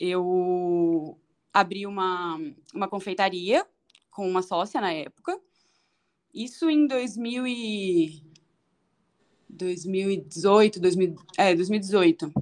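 The speech comes at a very slow pace, with long, frequent pauses. Its pitch shows ordinary variation. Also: woman, medium pitch for a woman. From Brazil, São Paulo (north zone). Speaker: chef. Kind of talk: interview.

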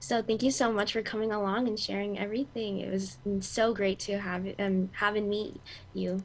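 A woman with an unremarkable speaking voice, medium pitch and a moderate pace. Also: fairly even intonation. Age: young. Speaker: nursing student, co-host. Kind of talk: casual chat.

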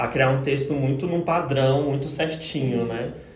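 Over noticeable background noise and audible room echo, a man with a medium pitch talks at a fairly quick pace with fairly even intonation. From Goiás interior, Brazil. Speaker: social media professional. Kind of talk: casual chat.

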